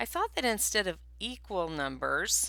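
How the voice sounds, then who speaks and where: A put-on character voice, squeaky, at a moderate speed. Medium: read story. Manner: cheerful, helpful.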